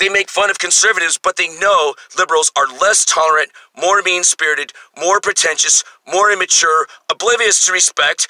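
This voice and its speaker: A high-pitched man speaks fairly quickly with ordinary pitch variation. His loudness stays very even in a dry, close sound with no echo. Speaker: video blogger. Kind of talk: rant. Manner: animated.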